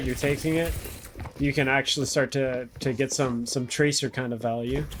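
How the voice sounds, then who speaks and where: A man's medium-pitched voice at a moderate pace, fairly even in intonation, over noticeable background noise. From Canada. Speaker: video game coach and streamer. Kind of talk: coaching VOD review, casual. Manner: casual, filler-heavy with stumbles.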